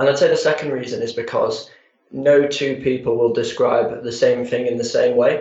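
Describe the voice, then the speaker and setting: A man speaks at a moderate pace. He has a Yorkshire accent. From Harrogate, Yorkshire, England. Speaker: public relations executive. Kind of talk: radio interview.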